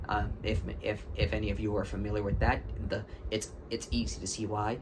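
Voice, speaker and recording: At a moderate pace, a man talks with vocal fry. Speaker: anime fan commentator. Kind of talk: casual talk to camera. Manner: stutter.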